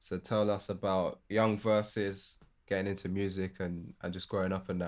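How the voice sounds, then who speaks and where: At a moderate pace, a man with a British accent speaks at a fairly low pitch in a very clean recording with a silent background. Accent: UK. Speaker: music producer, podcast host. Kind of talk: casual chat.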